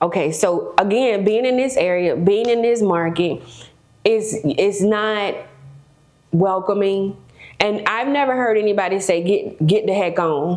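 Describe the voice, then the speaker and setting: A woman with an American accent and an animated tone at a medium pitch, with ordinary pitch variation, very even loudness, a fairly slow pace, and audible room echo. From South Florida, West Palm Beach. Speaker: real estate broker and developer. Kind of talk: podcast interview.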